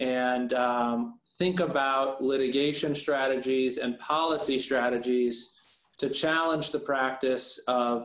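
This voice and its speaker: Speaking at a fairly slow pace, a man has an American accent. His pitch sits in the medium range. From US Midwest, Omaha, Nebraska. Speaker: lawyer. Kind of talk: discussion panel. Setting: video call. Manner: halting, many fillers.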